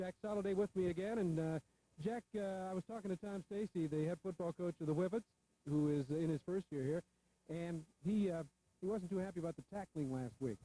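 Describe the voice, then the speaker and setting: With a Midwestern American accent, the speaker talks at a fairly quick pace in a dark, mellow tone with ordinary pitch variation, and the sound is dry and close with no echo. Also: man, high pitch for a man. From north central Ohio, Shelby. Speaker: sports broadcaster. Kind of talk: pre-game sports commentary. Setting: outdoors at a football field.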